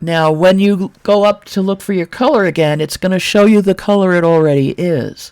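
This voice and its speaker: A woman with an American accent speaks at a moderate pace with hardly any pauses. She has an unremarkable speaking voice, medium in pitch, with ordinary pitch variation. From New York, Brooklyn. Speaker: 3D modeling tutor, former game artist. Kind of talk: software tutorial. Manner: casual, chatty.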